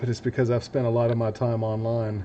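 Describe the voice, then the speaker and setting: A man's medium-pitched voice with a slight Southern US accent, a dark, mellow tone and a fairly quick pace. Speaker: DIY electronics YouTuber. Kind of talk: casual livestream chat while building. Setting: workbench livestream. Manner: casual, chatty.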